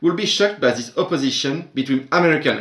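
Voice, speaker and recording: Speaking in a French accent, a man uses a fairly high pitch with ordinary pitch variation. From France. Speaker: literature teacher. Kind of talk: academic conference presentation.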